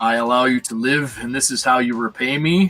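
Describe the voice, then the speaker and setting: A put-on character voice from a man, rumbling, medium-pitched, at a fairly quick pace. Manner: loud.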